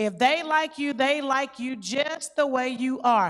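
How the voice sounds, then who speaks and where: A loud woman's voice, high in pitch, with ordinary pitch variation and a moderate pace. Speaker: youth worker. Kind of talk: panel discussion. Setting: church youth conference.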